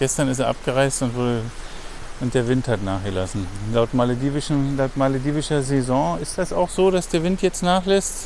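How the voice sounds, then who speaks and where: A man's intonation is lively while noticeable background noise goes on around him. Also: medium pitch for a man, moderate pace. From Germany. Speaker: travel podcast host. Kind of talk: casual chat. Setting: outdoors.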